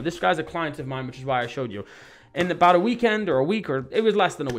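A man talks very fast while faint music plays in the background. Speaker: marketing coach. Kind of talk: presentation over screen share. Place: home room.

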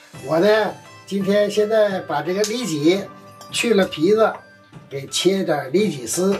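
Faint music plays behind a man with a high-pitched voice. He talks at a very slow pace, with long, frequent pauses. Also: ordinary pitch variation. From northern China. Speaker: chef. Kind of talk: cooking demonstration. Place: kitchen.

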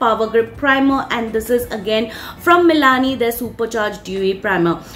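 Speaking at a moderate pace with ordinary pitch variation, a woman is heard over light background noise. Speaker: beauty vlogger. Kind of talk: product recommendation vlog. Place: home room. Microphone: phone near.

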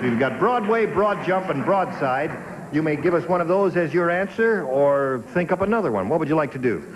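There is noticeable background noise. Over it, a man speaks at a fairly quick pace. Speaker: game show host. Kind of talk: game show hosting patter. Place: stage. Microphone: handheld.

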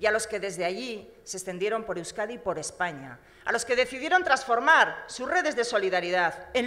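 At a moderate pace, a woman speaks with very wide pitch swings over a quiet background. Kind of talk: political speech. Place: hall. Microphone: podium.

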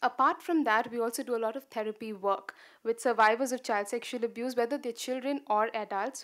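Fairly even intonation runs through a woman's speech at a fairly quick pace. Behind her, the background is quiet. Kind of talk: conference talk. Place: hall.

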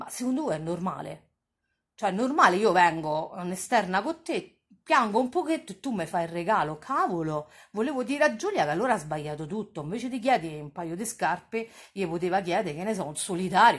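A woman talks at a fairly quick pace in an animated, somewhat breathy voice, with very wide pitch swings and big swings in loudness. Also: medium pitch for a woman. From Rome. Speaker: online streamer and TV gossip commentator. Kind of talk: casual live-stream chat.

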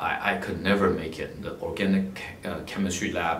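A man talks in a very deep, low pitch. Audible room echo and light background noise come through on the recording. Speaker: philanthropist and scholarship donor, MBA graduate. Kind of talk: personal talk about life story and advice. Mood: calm, reflective storytelling. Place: office.

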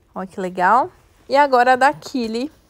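An animated tone with lively intonation, in a dry sound with no echo. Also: woman. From Brazil. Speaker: children's clothing store presenter; presenter. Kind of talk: live sales stream. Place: shop. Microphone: earbuds.

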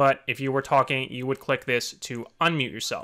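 A man speaks fairly quickly. Nothing much is heard behind him. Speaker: software tutorial maker. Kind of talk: tutorial. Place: home room.

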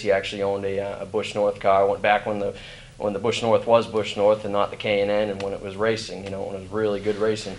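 A man delivers his words at a very fast pace and fairly low pitch in a monotone, flat intonation over light background noise. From New England. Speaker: racing driver; guest. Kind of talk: interview. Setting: trade expo floor. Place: hall.

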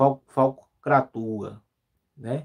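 In a quiet setting, this man's voice sits at a fairly high pitch. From Brazil, Pernambuco. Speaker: youtuber, news commentary channel host. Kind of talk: live stream commentary. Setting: live stream. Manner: frequent filler words and repetitions. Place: home room. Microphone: phone near.

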